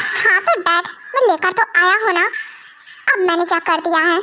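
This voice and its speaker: Putting on a character voice, a woman speaks at an extremely high pitch and moderate pace, with ordinary pitch variation and very even loudness. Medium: fan dub. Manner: brusque, irritable.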